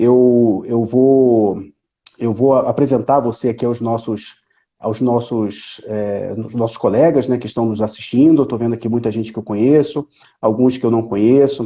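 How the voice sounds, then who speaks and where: A man with a plain, everyday voice, medium in pitch, at a moderate pace and with fairly even intonation. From Brazil, Rio de Janeiro. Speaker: live stream host, professor. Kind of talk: live stream conversation.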